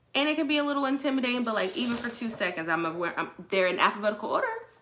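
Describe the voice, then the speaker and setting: Audible room echo around a woman's high-pitched voice with very wide pitch swings. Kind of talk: online workshop talk. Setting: Facebook live stream. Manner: high energy.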